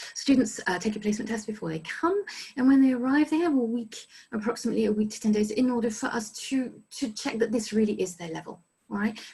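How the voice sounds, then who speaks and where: A woman's fairly high, somewhat breathy voice at a very fast pace, with ordinary pitch variation. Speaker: study abroad resident director. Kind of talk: informational presentation.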